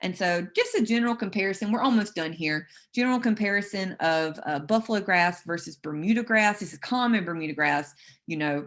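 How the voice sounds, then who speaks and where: A woman with a South Carolina accent and a medium pitch. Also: ordinary pitch variation, fairly quick pace. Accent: Southern, South Carolina. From US South, South Carolina. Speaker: turfgrass specialist. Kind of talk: webinar lecture.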